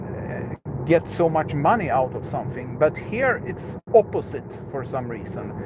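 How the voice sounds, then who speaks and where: At a fairly slow pace, a man with a fairly high pitch speaks with very wide pitch swings and big swings in loudness over noticeable background noise. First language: Swedish. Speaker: YouTuber, electric car enthusiast. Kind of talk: live stream chat while driving. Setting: in a car. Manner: halting, many fillers.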